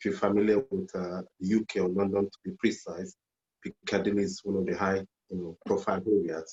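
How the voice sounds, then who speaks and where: In a Nigerian accent, a man with a fairly low pitch speaks at a moderate pace with fairly even intonation. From Nigeria, Lagos. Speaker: journalist and poet. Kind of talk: interview. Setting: video call.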